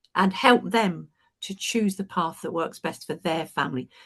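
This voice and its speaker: With a British accent, a woman speaks at medium pitch using lively intonation. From UK. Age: 70s. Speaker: retired teacher and coach. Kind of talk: panel discussion.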